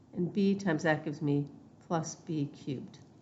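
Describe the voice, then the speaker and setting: A woman speaks with a fairly low pitch and ordinary pitch variation. Some room echo can be heard. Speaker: math teacher. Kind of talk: lecture.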